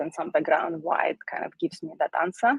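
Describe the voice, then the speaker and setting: At a moderate pace, a woman with a non-native accent speaks with vocal fry. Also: dry, close sound with no echo. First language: not English. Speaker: solutions architect. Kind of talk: technical presentation.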